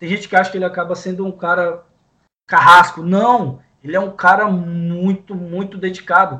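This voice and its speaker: In a raised, projected voice, a man speaks at a high pitch and a moderate pace, with a bright, sharp tone, monotone, flat intonation and big swings in loudness. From Brazil, interior of Pará state. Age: 20s. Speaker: professional sports bettor. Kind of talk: sports betting discussion podcast.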